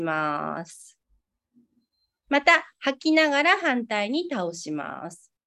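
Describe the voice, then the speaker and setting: Over a quiet background, a woman speaks in a raised, projected voice with a bright, sharp tone. Her pitch swings very widely. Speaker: acupuncturist and prenatal care salon owner. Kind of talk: interview; exercise tutorial.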